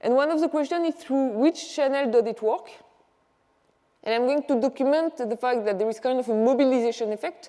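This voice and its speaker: A woman speaks at a high pitch with a French accent. Her pace is fairly quick, and her pitch variation is ordinary. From France. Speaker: economics professor. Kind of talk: conference presentation.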